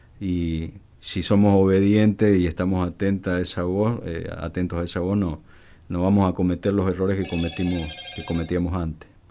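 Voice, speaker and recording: A man talks at a moderate pace, his very deep, low pitch held in a monotone, flat intonation, while noticeable background noise runs underneath. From Argentina, Mendoza. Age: 50s. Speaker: border police commander. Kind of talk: radio interview. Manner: halting, many fillers.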